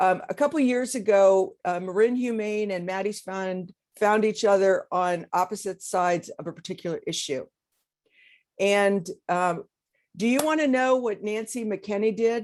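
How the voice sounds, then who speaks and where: A plain, everyday voice from a woman at medium pitch, moderate pace and ordinary pitch variation. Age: 60s. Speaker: animal shelter leader. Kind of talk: informal talk on a video call. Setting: video call.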